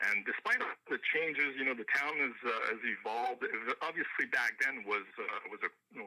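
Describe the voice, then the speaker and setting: The speaker has a Quebec accent and talks at a fairly quick pace. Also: man. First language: French. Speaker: country singer-songwriter. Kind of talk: radio interview. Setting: radio show. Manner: halting, many fillers.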